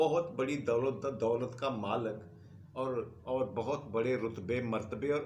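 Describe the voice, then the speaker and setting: Very slowly and somewhat breathily, a man speaks at a medium pitch in a room with audible echo. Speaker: history storyteller. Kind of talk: history lecture.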